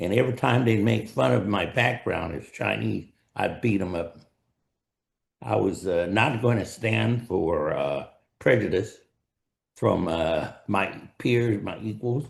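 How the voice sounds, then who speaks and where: A man with an American accent, lively intonation and vocal fry. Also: fairly low pitch for a man, fairly slow pace. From US West, El Centro, California. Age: 80s+. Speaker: retired-age professional, dentist. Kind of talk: interview, personal life story. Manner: hesitant, with fillers.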